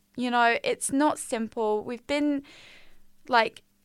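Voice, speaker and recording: At a very slow pace, a high-pitched woman speaks with an English accent in a very clean recording with a silent background. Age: 20s. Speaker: podcast host, university student. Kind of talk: casual monologue. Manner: chatty, filler-heavy; stumbling over words.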